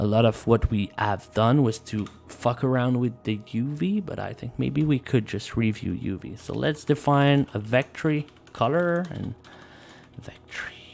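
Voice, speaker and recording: Loudness swings widely as the speaker moves at a fairly slow pace. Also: man. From Quebec. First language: French. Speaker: live coding streamer. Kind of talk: live coding tutorial stream. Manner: casual, halting with fillers.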